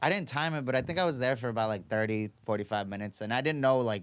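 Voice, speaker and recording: A man with an American accent talks very fast at a medium pitch with ordinary pitch variation on a very clean recording with a silent background. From New York, Long Island (Oceanside). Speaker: boxing coach. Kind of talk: casual chat. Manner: casual, halting with repetitions.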